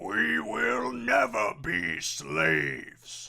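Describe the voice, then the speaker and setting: This man uses a put-on character voice that sounds raspy. His pitch sits fairly low. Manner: defiant.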